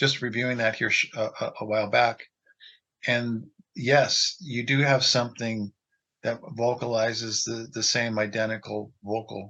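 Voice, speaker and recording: Speaking in a Pacific Northwest accent, a man has a medium pitch and a bright, sharp tone. His delivery is fairly slow, with monotone, flat intonation. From Washington State. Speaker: Bigfoot audio researcher. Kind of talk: casual interview.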